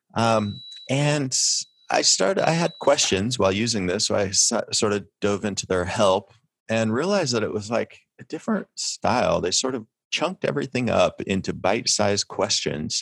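Recorded very cleanly against a silent background with a dry, close sound and no echo, a man with an unremarkable speaking voice talks at medium pitch and a moderate pace with lively intonation. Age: 40s. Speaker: technical writer. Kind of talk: interview.

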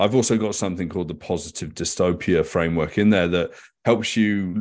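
A man speaks in a very deep, low voice with ordinary pitch variation. His pace is fairly quick. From West Country, England. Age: 50s. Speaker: futurist. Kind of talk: interview conversation.

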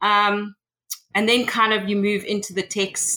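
In a South African accent, a woman speaks at a fairly slow pace with a bright, sharp tone. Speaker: tech consultant. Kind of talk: interview.

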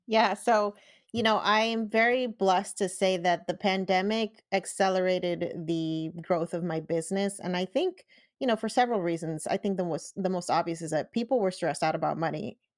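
An unremarkable speaking voice at a fairly quick pace with ordinary pitch variation, in a very clean recording with a silent background. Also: woman. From US, Puerto Rican family. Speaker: personal finance podcaster and engineer. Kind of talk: interview.

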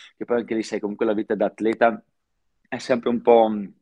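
A man speaks at a medium pitch in a dry, close sound with no echo. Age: 30s. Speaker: professional snowboarder. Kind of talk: casual chat.

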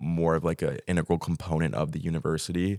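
A man's very deep, low voice with vocal fry, fairly even intonation and a moderate pace, in a very clean recording with a silent background and a dry, close sound with no echo. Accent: American. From Texas. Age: 20s. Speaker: exchange student. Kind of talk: casual chat.

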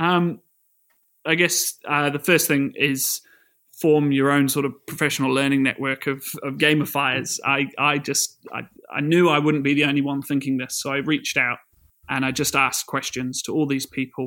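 A man with a New Zealand accent speaks at a moderate pace in a bright, sharp tone at a fairly high pitch. His intonation is monotone and flat in a very clean recording with a silent background. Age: 20s. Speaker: secondary school science teacher. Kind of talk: casual interview. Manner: hesitant, many fillers.

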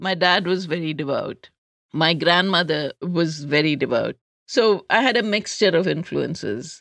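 With a Keralan accent, a woman talks at a moderate pace in a fairly low pitch with ordinary pitch variation. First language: Malayalam. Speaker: public health researcher and life coach. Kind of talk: interview conversation.

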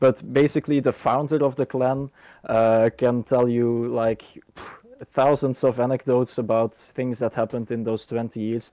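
A man with a Dutch accent speaks at a moderate pace and medium pitch, his intonation monotone and flat. His tone is dark and mellow, and the sound is dry and close with no echo. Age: 20s. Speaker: gaming community organizer and engineering student. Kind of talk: casual interview. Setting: video call.

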